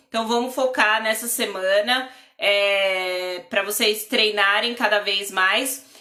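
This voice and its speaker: Over noticeable background noise, a woman talks at a very slow pace with a fairly high pitch, fairly even intonation and very even loudness. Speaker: drawing and lettering teacher. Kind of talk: live online class.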